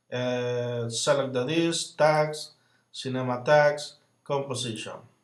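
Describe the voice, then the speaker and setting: A man's voice with audible room echo. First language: not English. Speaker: software tutorial creator. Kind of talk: tutorial. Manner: halting, with frequent fillers.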